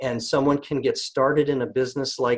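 A somewhat breathy man at a medium pitch, over a quiet background. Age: 50s. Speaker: network marketing distributor; presenter. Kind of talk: sales pitch. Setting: conference call. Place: home room. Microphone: webcam.

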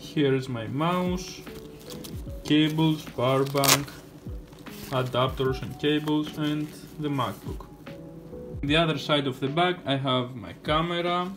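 Speech comes at a fairly slow pace with ordinary pitch variation and long, frequent pauses, while clear music plays in the background. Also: man. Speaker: vlogger. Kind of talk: casual vlog chat. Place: home room. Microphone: phone near.

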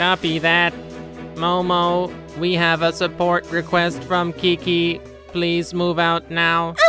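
A cartoonish character voice at a middle pitch talks at a fairly slow pace. Clear music plays in the background. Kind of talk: children's educational narration. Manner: clear, explanatory, businesslike.

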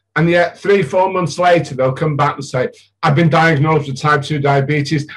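A man at a moderate pace, somewhat breathy, with ordinary pitch variation against a quiet background. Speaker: interviewer, diet group leader. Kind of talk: casual interview talk. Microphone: video call.

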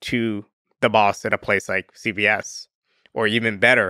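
Recorded dry with no echo and a quiet background, a man speaks in a bright, sharp tone. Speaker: podcast guest. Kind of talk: interview answer. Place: studio. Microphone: studio mic.

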